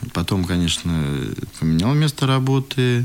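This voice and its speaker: A man with lively intonation. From Moscow, Russia. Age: 30s. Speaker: school director. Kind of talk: interview.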